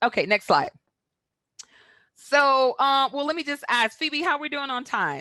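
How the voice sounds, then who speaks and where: Her voice raised and projected, a woman speaks high with ordinary pitch variation and long, frequent pauses. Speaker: public health presenter. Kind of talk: webinar presentation. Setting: online webinar. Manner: fast.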